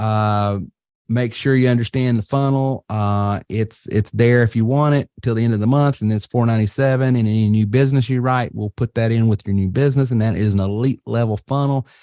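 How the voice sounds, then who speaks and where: A man speaks at a fairly quick pace with hardly any pauses, his tone dark and mellow. His intonation is fairly even, and the sound is dry and close with no echo. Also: medium pitch for a man, very even loudness. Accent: Southern US. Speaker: webinar host, marketing business owner. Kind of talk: webinar presentation. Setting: online webinar. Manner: casual, halting with fillers.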